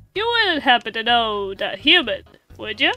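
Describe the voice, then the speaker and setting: Over music in the background, a woman uses a high-pitched put-on character voice at a moderate pace. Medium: game stream. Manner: laid-back, drawling.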